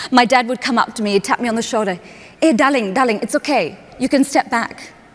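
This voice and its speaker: A high-pitched woman talks fairly quickly while noticeable background noise sounds around her. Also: ordinary pitch variation. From Australia, Perth. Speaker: human connection speaker. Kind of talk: keynote talk. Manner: animated storytelling.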